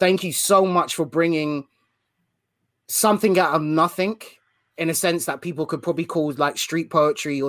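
Speaking with a British accent at a moderate pace, a man shows ordinary pitch variation in a very clean recording with a silent background. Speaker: podcast host. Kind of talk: casual interview.

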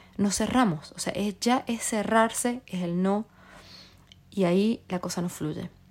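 The woman's voice, somewhat breathy and medium in pitch, rises and falls with ordinary variation. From Argentina. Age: 30s. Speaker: podcast host. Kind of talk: casual monologue.

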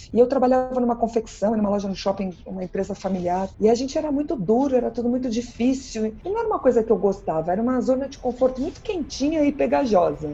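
Amid noticeable background noise, a woman speaks very fast in a high pitch with lively intonation. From Brazil, São Paulo. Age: 50s. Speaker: party planning teacher and speaker. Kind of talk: podcast interview. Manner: animated.

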